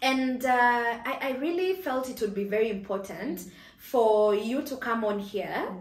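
In a room with audible echo, a woman talks at a moderate pace and a fairly high pitch with lively intonation. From Kenya. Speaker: YouTuber, personal finance channel host. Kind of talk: casual interview chat. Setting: studio. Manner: animated. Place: home room.

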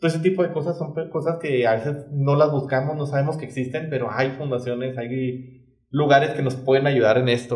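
Against a quiet background with audible room echo, a man with a Mexican accent speaks at a fairly high pitch, somewhat breathy, with fairly even intonation and hardly any pauses. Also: fairly quick pace. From Mexico. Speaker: podcast co-host. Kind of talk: casual chat. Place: studio.

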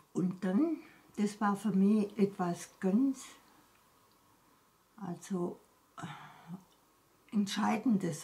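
The speaker goes very slowly. The pitch shifts by ordinary amounts. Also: woman. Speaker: wartime eyewitness. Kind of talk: interview answer. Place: home room. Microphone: phone near.

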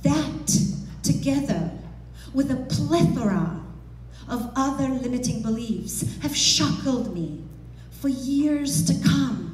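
A woman speaks at a very slow pace, leaving long, frequent pauses, her pitch swinging very widely. Audible room echo and light background noise surround her voice. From Romania. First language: Romanian. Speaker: motivational speaker. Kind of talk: motivational speech. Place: hall. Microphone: headset.

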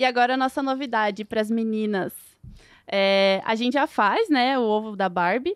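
A woman speaks at a moderate pace in a fairly high voice with ordinary pitch variation, the sound dry with no echo and the background quiet. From Lapa, Paraná, southern Brazil; Paraná, Brazil. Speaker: food industry engineer; guest. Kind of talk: casual interview chat. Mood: cheerful, friendly. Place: studio. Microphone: studio mic.

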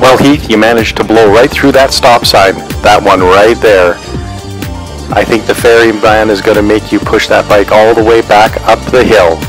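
Clear music plays in the background behind a man with a fairly low pitch. His loudness stays very even in a dry sound with no echo. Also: ordinary pitch variation, moderate pace. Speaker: motorcycle rider vlogger. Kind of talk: casual commentary to friend. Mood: joking, playful. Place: motorbike.

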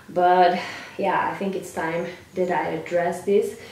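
In a room with audible echo and light background noise, a woman speaks at a fairly low pitch. Her pace is fairly slow and her intonation is flat and monotone. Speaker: fitness coach. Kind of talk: casual vlog chat. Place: home room. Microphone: camera far.

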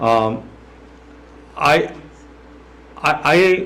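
Audible room echo surrounds a man as he talks. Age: 70s. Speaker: retired teacher and coach. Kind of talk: public comment at council meeting. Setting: city council meeting.

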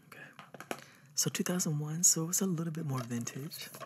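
Soft-spoken and somewhat breathy, a man talks at a moderate pace. His pitch varies in an ordinary way. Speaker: ASMR creator. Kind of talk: ASMR roleplay. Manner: relaxed, casual. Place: home room.

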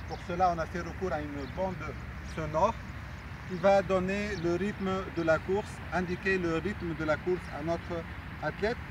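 A man with a high voice talks at a fairly slow pace. The sound is dry with no echo, and background noise is noticeable. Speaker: sports coach or trainer. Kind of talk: tutorial explanation. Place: stadium.

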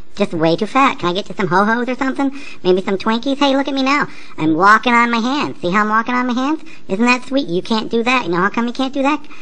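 A cartoonish, female-sounding character voice races along at a very fast pace and a high pitch, with clear background noise. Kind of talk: comic overacting. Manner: mocking, sing-song, bratty.

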